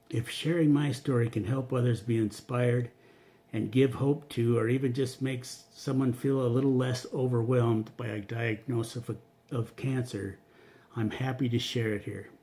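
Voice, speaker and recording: With a plain, everyday voice, a man speaks at a moderate pace and medium pitch with fairly even intonation. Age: 60s. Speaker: cancer patient. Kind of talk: reading aloud; testimony.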